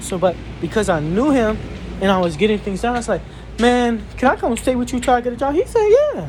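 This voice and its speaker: A fairly quick pace carries the talking, with noticeable background noise behind it. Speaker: vlogger. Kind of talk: casual vlog chat. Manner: halting, repetitive.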